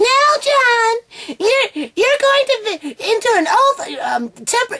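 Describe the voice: Putting on a character voice, a woman speaks fairly slowly in an extremely high, shrill, squeaky tone with lively intonation.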